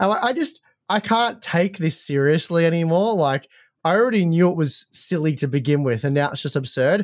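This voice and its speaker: The recording is very clean, with a silent background. A man talks at a moderate pace, his pitch swinging very widely. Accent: Australian. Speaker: tech podcast co-host. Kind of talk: casual chat. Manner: halting, many repetitions.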